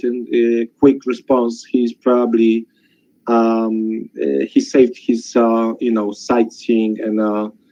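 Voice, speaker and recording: This man speaks at a fairly slow pace with a medium pitch. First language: not English. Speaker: webinar participant sharing a testimonial. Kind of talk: testimony. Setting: webinar call. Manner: halting.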